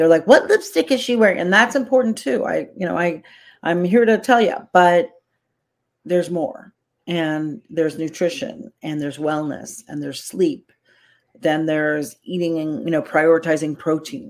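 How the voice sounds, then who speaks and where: On a very clean recording with a silent background, a woman speaks at a fairly low pitch and a moderate pace in an unremarkable speaking voice. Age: 60s. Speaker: celebrity makeup artist and coach. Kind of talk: casual interview.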